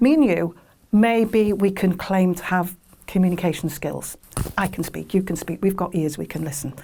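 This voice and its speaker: A woman's medium-pitched voice with a dark, mellow tone, ordinary pitch variation and a moderate pace. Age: 60s. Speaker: family carer. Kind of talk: testimony.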